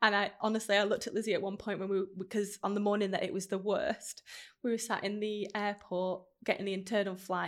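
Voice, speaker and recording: A woman with a Manchester accent and medium pitch at a very fast pace, on a very clean recording with a silent background. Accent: Manchester-area northern English. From northern England, Stockport. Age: 30s. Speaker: podcaster and brand founder. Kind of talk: casual chat. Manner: animated.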